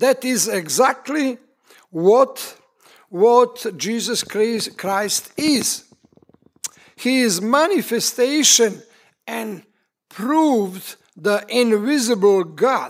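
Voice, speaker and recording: A man with a Serbian accent speaks very slowly at an extremely high pitch, with ordinary pitch variation and long, frequent pauses. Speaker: preacher. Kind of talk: sermon. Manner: halting.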